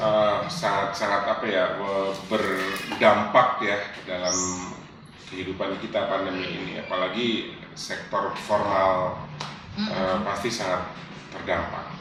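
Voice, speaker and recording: Over noticeable background noise, a man talks at a very slow pace with long, frequent pauses, his fairly low voice monotone and flat. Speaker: voice actor. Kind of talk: interview host talk.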